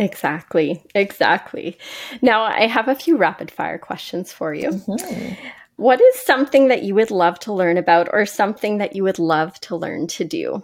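An unremarkable speaking voice at a moderate pace, with lively intonation. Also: woman, medium pitch for a woman. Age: 40s. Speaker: podcast host and educator. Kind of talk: interview.

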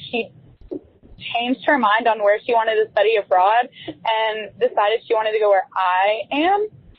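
At a moderate pace, a woman uses an ordinary speaking voice with fairly high pitch and ordinary pitch variation. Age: young. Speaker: college student, voicemail caller. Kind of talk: voicemail message.

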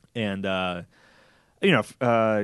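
Against a quiet background, a man with an American accent speaks in a fairly low pitch with ordinary pitch variation. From US West, Reno, Nevada. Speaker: army veteran and author. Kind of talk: interview. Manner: halting, many fillers and repetitions.

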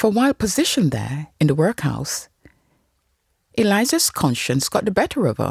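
A woman at medium pitch speaks at a moderate pace with vocal fry, very wide pitch swings and long, frequent pauses. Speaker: true crime podcaster. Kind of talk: true-crime narration, scripted and told as a story. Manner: grave, measured storyteller pace.

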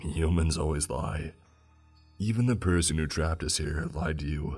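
A man's put-on character voice, very deep and low, croaky, at a moderate pace over faint background music. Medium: read story. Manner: cryptic, solemn.

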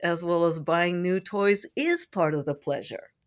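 A woman with a normal speaking voice and an American accent talks at a moderate pace in a medium pitch. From San Francisco, US. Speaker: sex educator and coach. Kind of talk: interview, expert advice.

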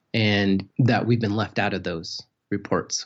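In an American accent, a man talks at a fairly slow pace with a fairly low pitch. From US Southwest, San Juan County, Utah (Navajo). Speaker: filmmaker and anthropology doctoral student. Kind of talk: interview. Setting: remote call.

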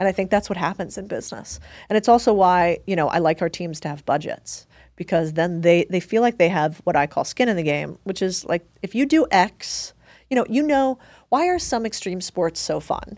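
Speaking at a moderate pace with lively intonation, a woman has a plain, everyday voice at a medium pitch on a very clean recording with a silent background. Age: 30s. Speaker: investor and entrepreneur. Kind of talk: casual chat.

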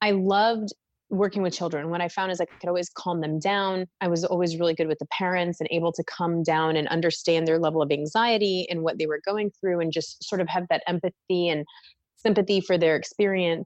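With an American accent, a woman with an unremarkable speaking voice talks at a fairly quick pace, fairly low in pitch with fairly even intonation, over a quiet background in a dry, close sound with no echo. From Minnesota, US Midwest. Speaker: oral and maxillofacial surgeon. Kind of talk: interview conversation.

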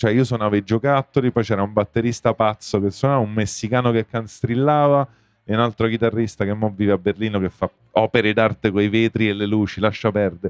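At a fairly quick pace, a man with a normal speaking voice and medium pitch talks with fairly even intonation and very even loudness. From Rome. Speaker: musician. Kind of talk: casual chat.

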